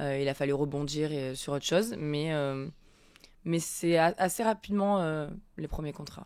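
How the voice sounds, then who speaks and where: A woman's very deep, low-pitched voice at a fairly slow pace with ordinary pitch variation. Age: 30s. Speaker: influencer and former reality TV contestant. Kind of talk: interview. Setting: studio.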